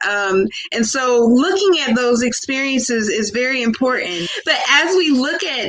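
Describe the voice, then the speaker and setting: Noticeable background noise sits behind a high-pitched woman speaking at a fairly slow pace. Her tone is animated. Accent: American. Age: young. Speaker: professor. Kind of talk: panel discussion.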